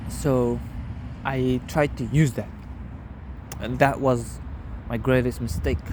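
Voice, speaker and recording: A man at a very slow pace with long, frequent pauses. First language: not English. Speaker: vlogger. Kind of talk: casual personal vlog monologue. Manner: halting.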